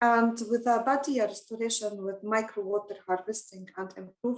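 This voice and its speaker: The delivery keeps a moderate pace. Its intonation stays fairly even. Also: woman. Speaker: researcher presenting at a webinar. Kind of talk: conference presentation. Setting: online webinar. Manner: hesitant, many fillers.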